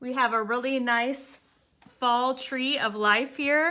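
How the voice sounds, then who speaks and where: On a very clean recording with a silent background, a woman with a high pitch speaks at a very slow pace in a bright, sharp tone. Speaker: art teacher. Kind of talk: tutorial.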